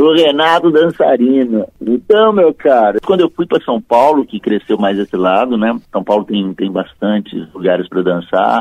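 The speech moves at a moderate pace with hardly any pauses and very wide pitch swings. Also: man, medium pitch for a man. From Minas Gerais, Triângulo Mineiro (Uberlândia). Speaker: tax auditor. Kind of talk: casual interview. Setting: phone call. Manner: halting.

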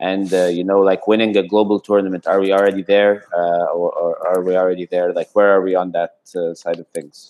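With an Arabic accent, a man talks at a moderate pace with hardly any pauses. His very deep, low pitch stays monotone and flat. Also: dry, close sound with no echo. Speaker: podcast host. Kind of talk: interview.

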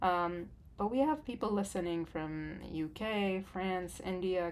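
Using an unremarkable speaking voice, a woman keeps to a fairly slow pace and a medium pitch. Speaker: podcast co-host. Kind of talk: casual conversation.

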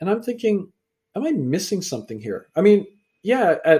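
With a Canadian accent and an unremarkable speaking voice, a man talks at a moderate pace with lively intonation. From Canada. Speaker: author and speaker.

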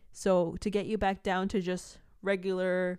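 A woman with a fairly low pitch speaks in a very clean recording against a silent background. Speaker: podcast co-host. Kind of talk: casual chat.

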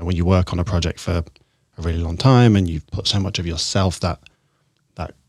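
Recorded very cleanly against a silent background, a man's very deep, low voice sounds somewhat breathy, with fairly even intonation. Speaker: podcast host. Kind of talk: casual interview.

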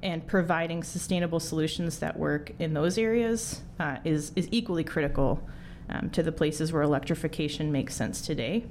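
A woman with an American accent has a normal speaking voice with a fairly low pitch. She talks at a fairly quick pace with ordinary pitch variation. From US Midwest (Wisconsin). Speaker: engineer and startup co-founder. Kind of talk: interview.

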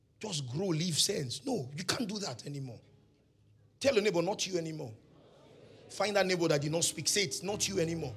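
With music in the background, a man talks in a high, animated voice broken by long, frequent pauses. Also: fairly quick pace. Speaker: preacher. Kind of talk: sermon. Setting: church with congregation. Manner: animated, call-and-response, leads the congregation in shouted repetition; fiery, exhorting, rhythmic repetition with prophetic declarations.

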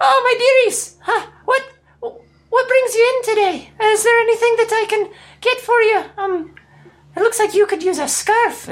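A put-on character voice is broken up by long, frequent pauses. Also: man, extremely high pitch for a man, moderate pace. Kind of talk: warm matronly put-on voice. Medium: actual play. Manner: sweetly condescending, chatty, fussy.

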